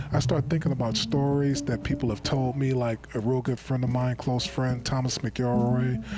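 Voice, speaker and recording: A man talks in a relaxed tone with hardly any pauses and very even loudness. His intonation is fairly even, and background noise is noticeable. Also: medium pitch for a man, moderate pace. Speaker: TV show host. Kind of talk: casual monologue tribute. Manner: relaxed, conversational.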